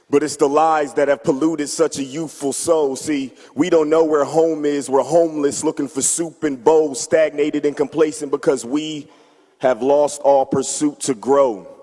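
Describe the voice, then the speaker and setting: A man speaks at a moderate pace in a fairly high pitch, his intonation monotone and flat, with noticeable background noise. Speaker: church member performing spoken word. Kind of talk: spoken word poetry performance at church. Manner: passionate, rhythmic.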